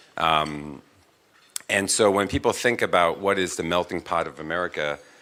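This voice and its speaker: A man with a Korean accent speaks in a bright, sharp tone. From Queens, New York (raised, born in Korea). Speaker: corporate executive. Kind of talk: onstage interview. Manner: halting, many fillers.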